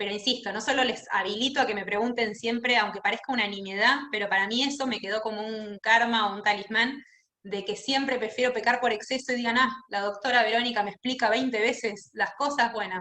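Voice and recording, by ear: A woman speaks with a bright, sharp tone and fairly high pitch, at a fairly quick pace and with fairly even intonation. Audible room echo surrounds her voice.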